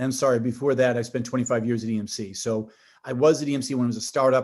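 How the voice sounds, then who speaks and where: This man talks at a fairly quick pace with a Boston accent and a medium pitch. The background is quiet. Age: 50s. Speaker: tech company executive. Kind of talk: podcast interview. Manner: animated, with frequent restarts and fillers.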